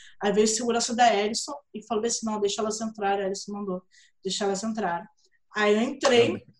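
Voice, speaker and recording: A woman talks with a Rio de Janeiro accent at a fairly high pitch. Her pace is fairly quick and her intonation fairly even. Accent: Carioca Brazilian Portuguese. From Brazil, Rio de Janeiro. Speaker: writer and fan event organizer. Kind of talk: casual interview chat.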